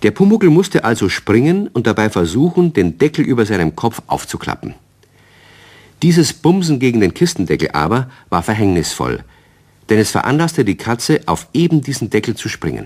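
With big pitch swings and a slightly mellow tone, a man speaks at a moderate pace and medium pitch.

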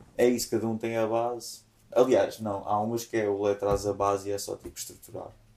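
A man speaks at a fairly quick pace in a medium pitch, with a dark, mellow tone and monotone, flat intonation. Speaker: musician. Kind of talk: casual chat.

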